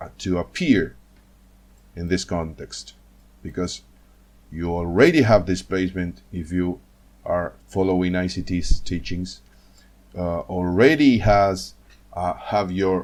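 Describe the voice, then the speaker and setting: A man with a non-native accent and a very deep, low pitch, at a very slow pace with long, frequent pauses and big swings in loudness. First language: not English. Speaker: trading educator. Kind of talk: screen-share tutorial. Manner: halting, many fillers and repetitions.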